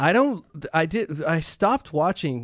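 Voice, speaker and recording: Speaking at a moderate pace with a Canadian accent, a man has an unremarkable speaking voice at a fairly high pitch, on a very clean recording with a silent background. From Canada. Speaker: composer and pianist. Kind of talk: casual chat.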